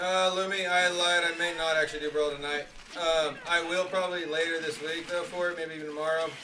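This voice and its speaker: This man speaks at a fairly quick pace in a high pitch with monotone, flat intonation. Audible room echo and noticeable background noise are present. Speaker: video game streamer. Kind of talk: live gameplay stream chat.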